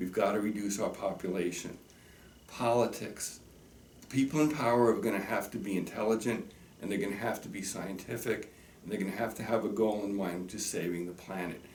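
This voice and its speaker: Delivered at a fairly quick pace with ordinary pitch variation, the voice carries audible room echo. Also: man, fairly low pitch for a man. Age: 60s. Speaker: teacher. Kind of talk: direct-to-camera message. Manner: earnest and emphatic.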